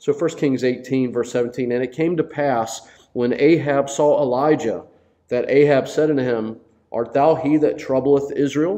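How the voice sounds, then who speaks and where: A man talks at a fairly slow pace in a dark, mellow tone with fairly even intonation. The background is quiet. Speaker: Bible study teacher. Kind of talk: sermon. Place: church. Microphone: lapel.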